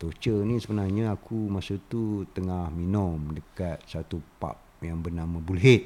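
With a very deep, low pitch and a dark, mellow tone, a man speaks at a fairly slow pace with hardly any pauses and ordinary pitch variation. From Malaysia, Raub, Pahang. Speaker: artist and former factory worker. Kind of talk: casual chat.

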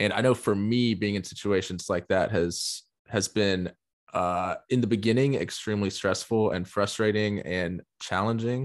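A man speaks with a Southern US accent at a fairly low pitch and fairly even intonation. The recording is very clean, with a silent background. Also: moderate pace. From US South. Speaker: podcast host. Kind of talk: casual interview. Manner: hesitant, many fillers.

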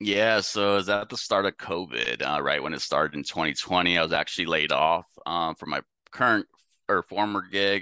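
Speaking with an American accent, a man talks fairly quickly in a very deep, low voice with vocal fry, a bright, sharp tone, and ordinary pitch variation, over a quiet background. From San Francisco Bay Area, California. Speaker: sales development rep. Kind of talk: podcast interview.

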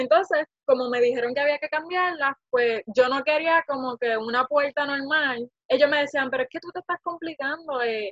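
A woman speaks at a moderate pace. Her pitch rises and falls in an ordinary way. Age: 20s. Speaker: small business owner, vacation rental host. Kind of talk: interview.

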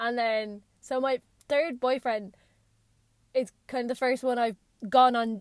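A woman's high-pitched voice in an Irish accent at a very slow pace, with long, frequent pauses. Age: 20s. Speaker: podcast host. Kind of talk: casual monologue. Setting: in a parked car.

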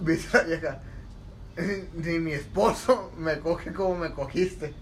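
This man speaks at a fairly high pitch. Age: 20s. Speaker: podcast co-host. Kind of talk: casual chat.

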